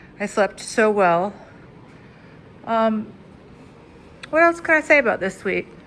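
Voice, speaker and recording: Pitch swings very widely as a woman speaks with long, frequent pauses. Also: fairly high pitch for a woman. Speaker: travel vlogger. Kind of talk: room tour vlog. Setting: hotel room. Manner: casual, filler-heavy.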